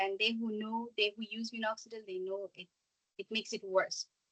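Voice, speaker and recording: Bright and sharp in tone, a woman's voice sits at a fairly high pitch. She moves at a fairly quick pace, in a dry, close sound with no echo. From Bangladesh. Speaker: small business founder. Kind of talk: presentation. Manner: fast.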